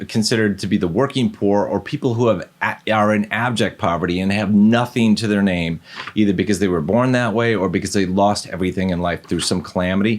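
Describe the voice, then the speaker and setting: A man speaks at a fairly quick pace and a fairly low pitch. His pitch varies in an ordinary way. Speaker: self-help video creator. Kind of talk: direct-to-camera advice talk. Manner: fast; casual, direct.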